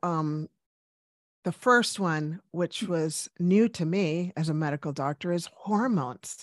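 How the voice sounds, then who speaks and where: Speaking at a very slow pace, a woman with a fairly low pitch and ordinary pitch variation is heard in dry, close sound with no echo. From US, Cuban-American family, Washington DC. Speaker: medical doctor. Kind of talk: interview.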